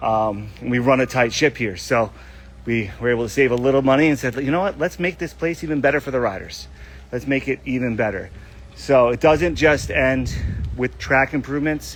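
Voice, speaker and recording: At a fairly quick pace, a man of medium pitch talks with ordinary pitch variation. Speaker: motocross park owner. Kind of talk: live stream update. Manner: fast; animated.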